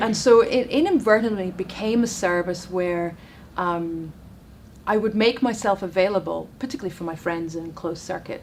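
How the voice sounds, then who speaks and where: A woman at medium pitch in a Scottish accent. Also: ordinary pitch variation, moderate pace, big swings in loudness. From Scotland. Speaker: relationship and dating coach. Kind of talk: interview on chat show.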